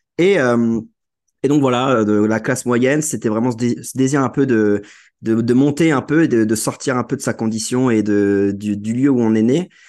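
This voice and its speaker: At a fairly slow pace, a man speaks at medium pitch with ordinary pitch variation against a quiet background. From Brittany, France (Guingamp). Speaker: AI consultant. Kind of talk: podcast interview. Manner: hesitant, many fillers and repetitions.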